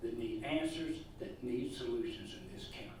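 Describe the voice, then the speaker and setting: Over noticeable background noise and audible room echo, a man speaks fairly slowly with a Southern US accent. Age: 60s. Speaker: political candidate, welder. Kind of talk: campaign statement.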